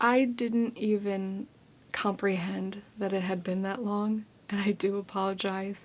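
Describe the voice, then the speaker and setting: Words come at a fairly slow pace. The background is silent in this very clean recording. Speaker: ASMR creator. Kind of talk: ASMR whispered ramble. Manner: whispered.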